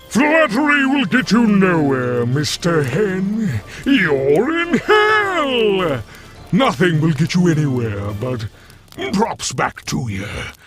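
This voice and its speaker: In a put-on character voice, a man talks at a very slow pace with a high pitch. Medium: audio drama. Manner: breezy, playful, smugly polite.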